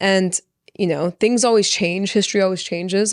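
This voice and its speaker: A woman speaks at a moderate pace with a Californian accent. The sound is dry and close with no echo, on a very clean recording with a silent background. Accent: Californian American. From Orange County, California, Persian-American family. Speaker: podcast guest, chef. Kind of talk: casual chat.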